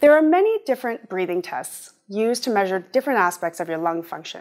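Lively intonation and a fairly quick pace stand out against a quiet background. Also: woman. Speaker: pulmonary function technologist. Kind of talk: educational presentation. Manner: formal. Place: studio. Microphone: lapel.

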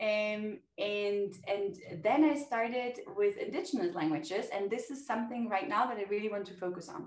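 A woman with a German accent at a moderate pace, lively intonation and big swings in loudness, audible room echo and a quiet background. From Germany. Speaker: language teacher. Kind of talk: interview. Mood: warm, enthusiastic. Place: home room. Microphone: webcam.

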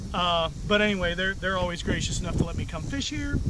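A man's monotone, flat voice, dry with no echo, over noticeable background noise. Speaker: fly fishing vlogger. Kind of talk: casual vlog chat. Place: waterside.

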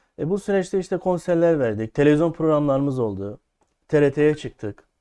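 The man's voice has a dark, mellow tone. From Şanlıurfa, southeastern Turkey. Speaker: folk music singer. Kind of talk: interview. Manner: hesitant, many fillers.

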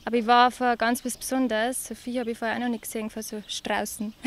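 Over light background noise, a woman speaks at a very fast pace in a fairly high pitch. Her intonation is monotone and flat, and the sound is dry with no echo. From Upper Palatinate, Bavaria, Germany. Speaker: nurse and calendar model from a farming family. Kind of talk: interview answer. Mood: relaxed, slightly shy. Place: farm machine. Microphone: handheld.

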